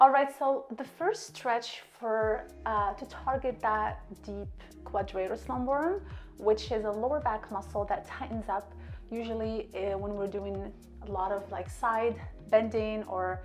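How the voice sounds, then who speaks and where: A woman talks fairly slowly while faint music plays in the background. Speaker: fitness coach. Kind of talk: tutorial. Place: home room.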